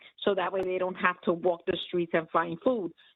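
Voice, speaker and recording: A woman speaks in a normal speaking voice at medium pitch, her intonation fairly even. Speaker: nursing home employee. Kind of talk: community board meeting.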